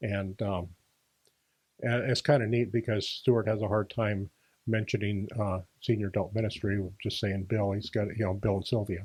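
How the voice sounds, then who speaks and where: A man's fairly low, somewhat breathy voice at a moderate pace, monotone with flat intonation, over a quiet background. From Washington. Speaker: senior adult minister. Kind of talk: casual interview. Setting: podcast. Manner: hesitant, many fillers.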